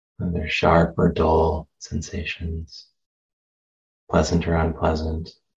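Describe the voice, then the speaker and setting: Very deep and low in pitch, a man speaks very slowly with long, frequent pauses, his somewhat breathy voice calm and gentle in tone and flat, monotone in intonation. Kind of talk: guided meditation. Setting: meditation center talk. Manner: slow, soft-spoken, calm and gentle, with long pauses.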